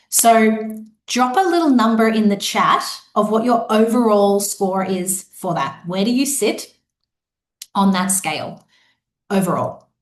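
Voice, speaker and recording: A woman with an Australian accent speaks fairly slowly in a fairly high voice, with ordinary pitch variation and long, frequent pauses. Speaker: business coach. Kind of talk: live online workshop. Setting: live video webinar.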